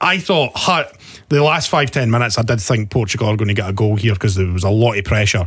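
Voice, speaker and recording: Against a quiet background, a man with a Scottish accent talks at a very fast pace, his fairly low, somewhat breathy voice rising and falling with lively intonation. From Scotland. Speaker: podcast host. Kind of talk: casual chat. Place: studio. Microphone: studio mic.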